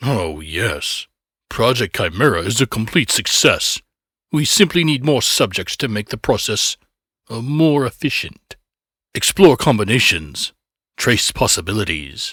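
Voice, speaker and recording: A man uses a put-on character voice of medium pitch at a moderate pace. The recording is very clean with a silent background. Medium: read story. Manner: eager, cold, delighted by cruelty.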